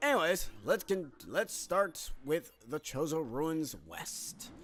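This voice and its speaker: A man speaks loudly. Music plays in the background. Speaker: video game let's play host. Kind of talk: gameplay commentary. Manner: casual, filler-heavy.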